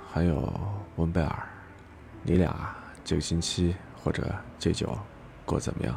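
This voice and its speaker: Quiet and somewhat breathy, a man speaks at a very deep, low pitch with ordinary pitch variation, at a fairly slow pace with long, frequent pauses and audible room echo. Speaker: livestream radio host. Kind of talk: late-night call-in chat. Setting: at home, live stream. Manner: deliberately low, hushed voice; repetitive, filler-heavy talk.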